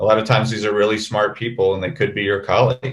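A man talks in a somewhat breathy voice. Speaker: emergency physician. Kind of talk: webinar panel discussion. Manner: halting, many fillers.

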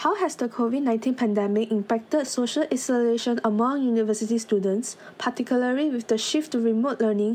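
A woman has an ordinary speaking voice, pitched fairly high, with fairly even intonation. She goes at a fairly quick pace with hardly any pauses and very even loudness. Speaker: podcast host. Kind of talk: scripted interview. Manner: formal.

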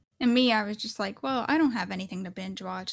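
Her voice carries vocal fry. This woman's pitch sits in the medium range. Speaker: podcast co-host. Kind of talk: casual chat. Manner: animated.

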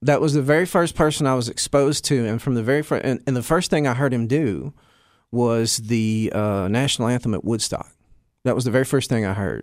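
Speaking with an American accent, a man uses a medium pitch and ordinary pitch variation. The recording is very clean, with a silent background. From US South (Alabama, Tennessee, Kentucky). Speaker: drummer and music teacher. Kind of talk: casual interview.

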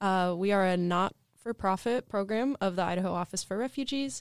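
A voice with an American accent moves at a moderate pace with ordinary pitch variation, an ordinary speaking voice. The recording is very clean, with a silent background and a dry, close sound with no echo. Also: woman. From Portland area, US Pacific Northwest. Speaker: nonprofit food hub manager. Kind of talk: interview.

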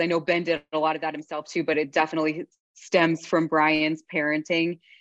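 At a moderate pace, a woman speaks with a fairly low pitch in a dry, close sound with no echo. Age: 20s. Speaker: podcast host. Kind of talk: casual chat.

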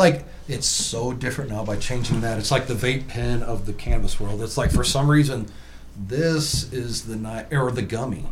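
In a room with audible echo and noticeable background noise, a man talks at a moderate pace with a medium pitch and ordinary pitch variation. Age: 40s. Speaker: tattoo artist turned cannabis entrepreneur. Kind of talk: casual chat.

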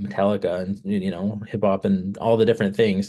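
The speaker has an American accent and a dark, mellow tone. Intonation is fairly even at a moderate pace over a quiet background. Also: man. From California. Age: 30s. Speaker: musician. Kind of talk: interview. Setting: video call.

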